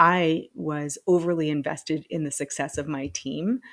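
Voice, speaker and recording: A fairly low-pitched woman comes through a very clean recording with a silent background. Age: 40s. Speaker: solo podcaster. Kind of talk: personal reflective monologue. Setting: home loft. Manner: casual with frequent laughs and fillers.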